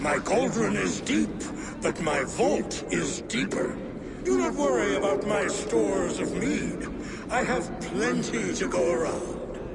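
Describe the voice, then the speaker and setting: A man's put-on character voice, fairly high-pitched and fairly slow, over loud background noise. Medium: machinima. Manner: proud, grandiose.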